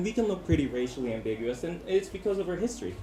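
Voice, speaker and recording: Amid noticeable background noise, a man speaks with very wide pitch swings. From Philippines. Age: 30s. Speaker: amateur stand-up comedian. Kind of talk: stand-up comedy set. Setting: comedy club open mic. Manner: occasionally stumbling over words.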